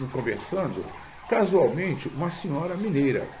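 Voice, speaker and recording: A man with a high pitch and lively intonation speaks amid noticeable background noise and audible room echo. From Rio de Janeiro, Brazil. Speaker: video blogger. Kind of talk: casual monologue to camera. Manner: halting, many fillers.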